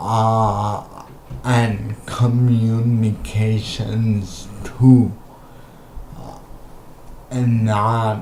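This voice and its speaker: With noticeable background noise behind him, a man speaks very slowly at medium pitch in a monotone, flat delivery broken by long, frequent pauses. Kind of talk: casual talk to camera.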